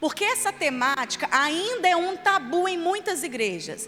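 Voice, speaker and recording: With music in the background, a woman speaks in a raised, projected voice at a moderate pace. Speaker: children's ministry leader and trainer. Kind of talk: church training lecture.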